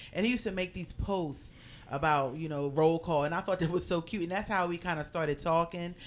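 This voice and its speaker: This woman has a normal speaking voice with a fairly low pitch and an American accent. She talks at a fairly quick pace with ordinary pitch variation. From Philadelphia. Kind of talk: casual interview.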